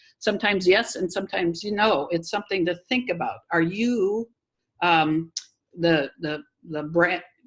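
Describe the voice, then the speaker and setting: A woman talks at a moderate pace. Her voice sits fairly low, with ordinary pitch variation. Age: 60s. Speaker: social media marketing instructor. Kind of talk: webinar Q&A. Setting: video call webinar. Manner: halting with many fillers.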